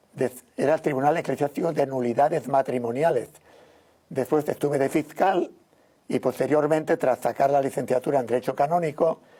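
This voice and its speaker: He talks at a fairly quick pace with a fairly high pitch. His tone is dark and mellow, and his intonation stays fairly even. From Spain, Valencia region (Algemesí). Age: 70s. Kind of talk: interview testimony.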